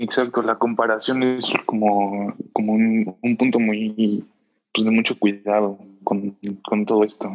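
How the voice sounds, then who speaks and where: Very slowly and at a very even loudness, a man speaks in a Mexican accent with a fairly low pitch and monotone, flat intonation. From Mexico, Puebla. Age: 20s. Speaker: podcast guest, student. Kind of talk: casual chat.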